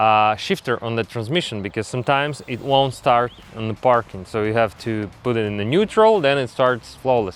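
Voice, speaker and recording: Spoken at a moderate pace, with music playing in the background. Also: man. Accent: non-native. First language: not English. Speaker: DIY mechanic YouTuber. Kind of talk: tutorial. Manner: halting.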